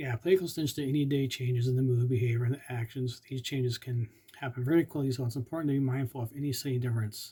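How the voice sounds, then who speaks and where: This man speaks at a very fast pace with hardly any pauses, his medium-pitched voice dark and mellow, somewhat breathy, and fairly even in intonation. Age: 50s. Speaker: epilepsy vlogger. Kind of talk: informational monologue. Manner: halting.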